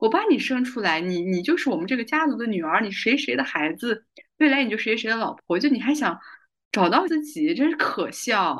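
Against a quiet background, a woman with a fairly high voice speaks fairly quickly, her pitch swinging very widely. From China, Kazakh community. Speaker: podcast host, film industry worker. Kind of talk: casual interview chat. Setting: online call.

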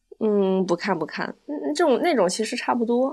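Over a quiet background, a woman with a fairly high pitch talks at a moderate pace, her pitch swinging very widely. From China, Wenzhou. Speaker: former esports event host. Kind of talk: casual chat.

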